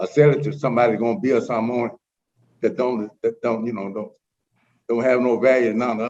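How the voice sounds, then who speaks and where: With an Alabama accent, the speaker talks at a fairly quick pace in a fairly even intonation. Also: man. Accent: Southern US (Alabama). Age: 80s+. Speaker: resident speaking in opposition. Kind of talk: public comment at council meeting. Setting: teleconference.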